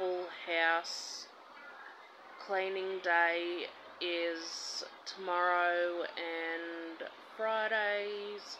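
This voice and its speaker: The background has noticeable noise. The intonation is monotone and flat. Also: woman. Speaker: vlogger. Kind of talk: casual vlog chat. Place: home room. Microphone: phone near.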